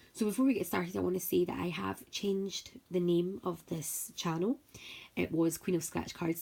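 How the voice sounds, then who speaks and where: Dark and mellow, a woman's voice sits fairly low in pitch with ordinary variation. She talks at a moderate pace. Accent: Scottish. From Scotland, Paisley near Glasgow. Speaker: scratch card video creator. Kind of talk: casual vlog talk. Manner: chatty, talkative.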